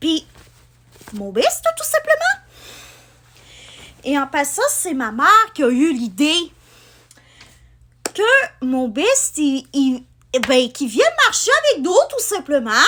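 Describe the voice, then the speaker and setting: Pitched high, a woman speaks at a very slow pace with very wide pitch swings and long, frequent pauses. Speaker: booktuber and vlogger. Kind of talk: casual vlog talk. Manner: hesitant, many fillers.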